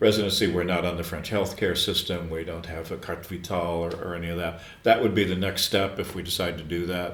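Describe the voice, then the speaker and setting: Someone with an American accent talks at a very fast pace in a monotone, flat way. There is audible room echo. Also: man, very deep, low pitch for a man, hardly any pauses. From US Midwest, Chicago. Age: 70s. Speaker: screenwriter and former radio broadcaster. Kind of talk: podcast interview. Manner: halting, frequent repetitions.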